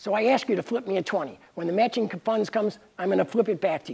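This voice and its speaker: The speaker talks at a very fast pace with an American accent. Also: man. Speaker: independent presidential candidate. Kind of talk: campaign speech. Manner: halting, many fillers.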